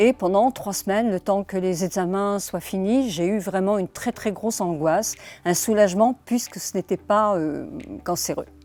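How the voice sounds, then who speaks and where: A woman speaks at a medium pitch and a moderate pace, with ordinary pitch variation. Her tone is dark and mellow, and the sound is dry and close with no echo. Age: 70s. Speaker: social media influencer. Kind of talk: awareness testimony to camera. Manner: earnest, hesitant with fillers.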